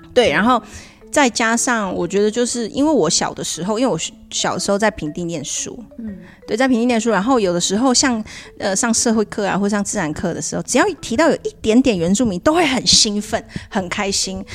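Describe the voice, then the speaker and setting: Over noticeable background noise, a woman with a fairly high pitch speaks at a fairly quick pace with lively intonation. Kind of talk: casual chat.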